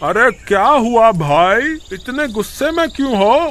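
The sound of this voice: Here is a put-on character voice with a fairly bright tone. It moves at a fairly slow pace with big pitch swings. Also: man, extremely high pitch for a man.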